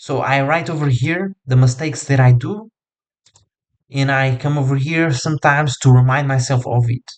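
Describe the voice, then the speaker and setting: A man with a non-native accent, fairly even intonation and a moderate pace. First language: not English. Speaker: coach. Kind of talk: tutorial. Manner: casual, filler-heavy.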